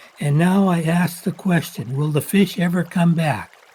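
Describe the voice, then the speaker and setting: A man with an American accent speaks at a high pitch. Noticeable background noise is present. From Washington State, US Pacific Northwest. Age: 80s+. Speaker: local fisherman telling his story. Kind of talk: personal narration.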